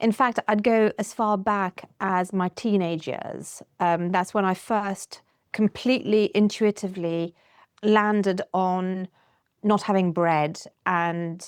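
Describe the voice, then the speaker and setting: In a very clean recording with a silent background and a dry, close sound with no echo, the speech comes at a very slow pace with fairly even intonation. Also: woman, medium pitch for a woman. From Luxembourg. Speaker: podcast guest. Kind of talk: podcast interview.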